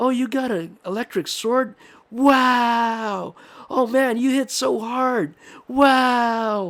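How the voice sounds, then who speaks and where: In a very clean recording with a silent background, a man uses a put-on character voice at an extremely high pitch, talking very slowly with ordinary pitch variation. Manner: excited, exclaiming.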